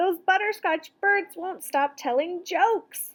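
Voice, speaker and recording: A woman's put-on character voice, extremely high in pitch, fairly slow, with ordinary pitch variation. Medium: read story.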